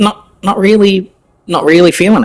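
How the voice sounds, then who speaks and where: A man is speaking. He has an Australian accent. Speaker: gaming streamer. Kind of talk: live gameplay commentary. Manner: casual, hesitant.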